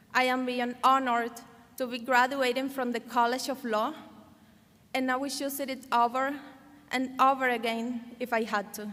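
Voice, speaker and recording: With a Cuban accent, a woman speaks fairly slowly in a high, bright, sharp, monotone voice with flat intonation. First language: Spanish. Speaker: law graduate, valedictorian. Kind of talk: commencement speech. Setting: podium at graduation ceremony.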